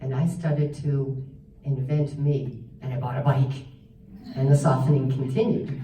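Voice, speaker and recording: The speaker goes at a fairly slow pace. Audible room echo fills the recording. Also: woman. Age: 60s. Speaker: stroke survivor and massage therapist. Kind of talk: personal story talk.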